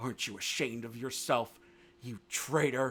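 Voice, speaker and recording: Putting on a growling character voice, a man speaks at a moderate pace and a medium pitch. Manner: bitter, snarling.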